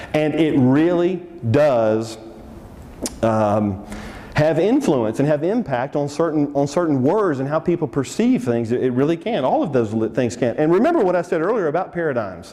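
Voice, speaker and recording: Speaking with a Texan accent, a man uses a fairly high pitch, lively intonation and an animated tone at a moderate pace and very even loudness. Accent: Southern (Texan). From Texas. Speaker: seminar speaker. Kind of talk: seminar presentation. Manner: animated, conversational.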